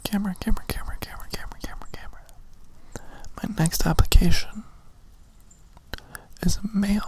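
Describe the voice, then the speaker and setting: A man whispers at a moderate pace, with big swings in loudness, long and frequent pauses, and noticeable background noise. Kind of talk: ASMR whisper ramble to camera. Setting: outdoors, recorded lo-fi. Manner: whispered, soft-spoken, repetitive trigger words.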